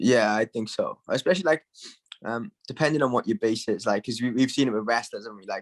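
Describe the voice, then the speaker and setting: Speaking at a very fast pace with a Welsh accent, a man has a medium pitch and ordinary pitch variation in a dry, close sound with no echo. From Wales. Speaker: MMA fighter. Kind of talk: casual interview. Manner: casual, filler-heavy.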